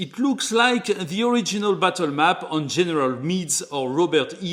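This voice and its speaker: A man with a French accent speaks in a high voice with very wide pitch swings. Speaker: board game reviewer. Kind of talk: tutorial.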